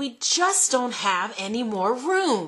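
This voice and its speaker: Using a put-on character voice, a woman growls at a high pitch, swinging very widely in pitch at a fairly slow pace. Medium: read story. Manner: nervous.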